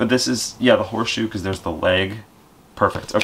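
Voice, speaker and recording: Light background noise is present. The man's intonation stays fairly even. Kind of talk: casual game chat. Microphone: camera far.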